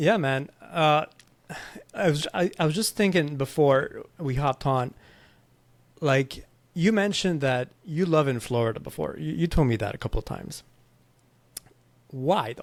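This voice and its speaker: A fairly high-pitched man with a Quebec accent, lively intonation, and long, frequent pauses. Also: moderate pace. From Quebec, Montreal. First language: French. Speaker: podcast host. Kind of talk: casual chat.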